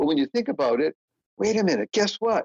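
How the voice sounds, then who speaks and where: A man with an American accent is recorded with a dry, close sound with no echo. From Boston, Massachusetts. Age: 70s. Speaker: motivational speaker and author. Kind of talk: podcast interview. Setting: podcast. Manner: animated.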